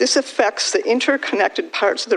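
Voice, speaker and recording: Noticeable background noise beneath a fairly quick delivery. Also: woman. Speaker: township resident, public commenter. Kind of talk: public comment. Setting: public meeting. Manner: quiet. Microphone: too far from mic.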